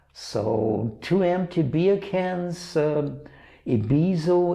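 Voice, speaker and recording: A man speaks very slowly in a Bavarian German accent with a dark, mellow tone. Audible room echo is present. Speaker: art dealer and auction host. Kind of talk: product presentation. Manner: halting, many fillers.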